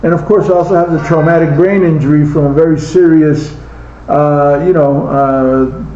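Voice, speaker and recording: Through noticeable background noise and audible room echo, a man talks at a moderate pace with a fairly high pitch and fairly even intonation. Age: 60s. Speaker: slot car hobbyist. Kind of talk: casual monologue. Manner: halting.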